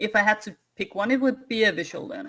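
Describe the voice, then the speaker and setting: The background is quiet. A woman speaks with a bright, sharp tone. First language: Danish. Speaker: wargamer and former teacher. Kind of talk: casual chat. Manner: halting.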